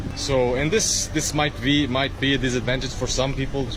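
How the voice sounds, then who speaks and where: A man talks at a medium pitch. Audible room echo and noticeable background noise surround him. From Portugal. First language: Portuguese. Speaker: travel vlogger. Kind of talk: casual travel vlog monologue. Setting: outdoors in a town. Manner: halting, many repetitions; lowered voice.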